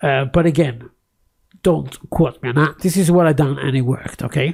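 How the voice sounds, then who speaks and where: Speech unfolds at a moderate pace. A non-native accent is heard. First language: not English. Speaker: tech YouTuber. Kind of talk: casual screen-recorded tutorial with ranting. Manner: close to the microphone; hesitant, many fillers and repeats.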